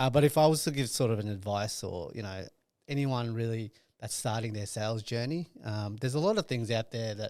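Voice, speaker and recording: Very clean recording with a silent background: a man at a medium pitch, fairly quick, with ordinary pitch variation and an Australian accent. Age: 30s. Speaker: sales and partnerships manager. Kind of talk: podcast interview.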